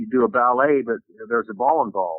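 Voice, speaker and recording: Using an ordinary speaking voice, a man with an American accent talks at a medium pitch and a fairly quick pace. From Florida, US South. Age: 60s. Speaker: former professional baseball player. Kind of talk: interview.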